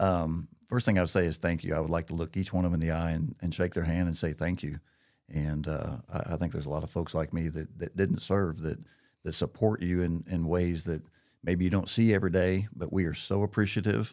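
Speaking at a fairly quick pace with an American accent, a man uses a very deep, low pitch, a dark, mellow tone and fairly even intonation against a quiet background. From Missouri, Marshfield; Missouri. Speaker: business executive; podcast guest. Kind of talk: casual interview. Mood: grateful, sincere. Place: studio. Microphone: studio mic.

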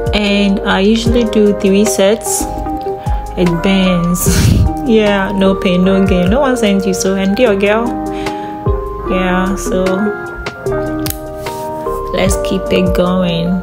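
A woman speaks at a very slow pace with long, frequent pauses. Music plays in the background. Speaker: fitness vlogger. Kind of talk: casual vlog narration.

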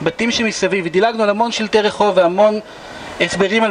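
A man talks at a very fast pace. Light background noise can be heard. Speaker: tour guide. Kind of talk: guided tour explanation. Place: street. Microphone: camera far.

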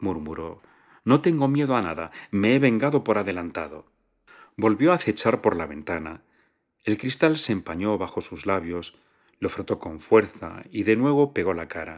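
Calm in tone, a man with fairly low pitch talks at a moderate pace with very wide pitch swings against a quiet background. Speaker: audiobook narrator. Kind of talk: literary audiobook reading. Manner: calm, measured narrator with a fluid, storytelling delivery.

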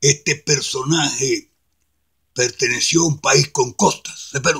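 A raspy, put-on character voice unfolds at a fairly slow pace. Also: man, fairly high pitch for a man. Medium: solo performance. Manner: pompous, argumentative.

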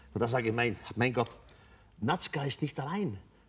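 This man speaks fairly quickly and somewhat breathily, with lively intonation. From Switzerland. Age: 80s+. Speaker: author. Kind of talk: interview answer. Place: stage. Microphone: lapel.

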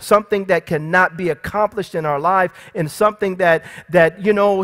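Speech at a moderate pace with fairly even intonation over a quiet background. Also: man. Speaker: pastor. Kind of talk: sermon. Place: church.

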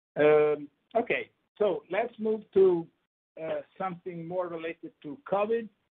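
The speaker has an Italian accent and leaves long, frequent pauses. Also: man, high pitch for a man, ordinary pitch variation, fairly slow pace. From Italy, Emilia-Romagna. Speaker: microbiology professor. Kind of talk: lecture. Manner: halting.

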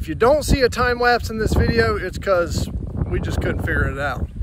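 Heavy background noise runs under a man's voice, which is dry with no echo as he goes at a moderate pace. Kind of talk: casual vlog chat. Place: open country. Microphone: phone near.

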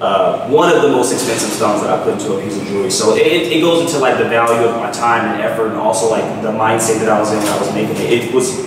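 A man speaking at a very fast pace with hardly any pauses and ordinary pitch variation, in strong room echo amid noticeable background noise. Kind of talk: interview answer. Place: home room. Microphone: camera far.

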